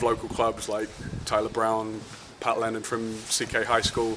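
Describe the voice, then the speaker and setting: With a London accent, a man talks at a moderate pace amid noticeable background noise. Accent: London English, lingering. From London, England. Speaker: football club general manager. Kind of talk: interview. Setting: outdoors at training field.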